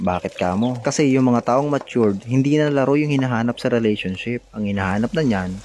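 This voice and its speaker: At a fairly quick pace with hardly any pauses, a man talks at medium pitch with ordinary pitch variation and very even loudness. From Philippines, Bicol region. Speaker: cooking vlogger. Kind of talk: casual cooking vlog chat. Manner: gossipy chatty tone.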